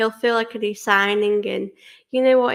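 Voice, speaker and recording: A woman's fairly high voice, fairly quick, with an English accent. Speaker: football fan channel host. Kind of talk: casual Q&A chat to camera.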